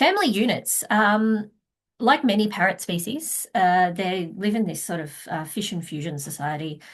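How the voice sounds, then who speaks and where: A woman's medium-pitched, somewhat breathy voice with an Australian accent, lively intonation and a moderate pace. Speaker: wildlife researcher. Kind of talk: conference presentation. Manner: hesitant with frequent fillers.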